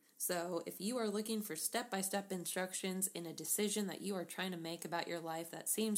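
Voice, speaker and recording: Using an unremarkable speaking voice, a woman of medium pitch talks at a moderate pace with fairly even intonation. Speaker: podcast co-host. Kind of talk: casual chat.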